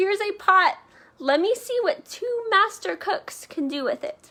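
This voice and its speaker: A woman's put-on character voice, extremely high-pitched and raised and projected, with very wide pitch swings at a moderate pace. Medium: read story.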